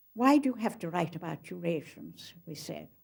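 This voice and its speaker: A woman speaks at a moderate pace and medium pitch, with vocal fry. Her intonation is lively. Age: 80s+. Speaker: author. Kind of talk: documentary interview recollection.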